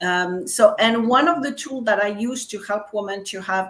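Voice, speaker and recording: The speaker uses a French accent, with ordinary pitch variation. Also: woman. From France. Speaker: business coach. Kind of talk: casual chat.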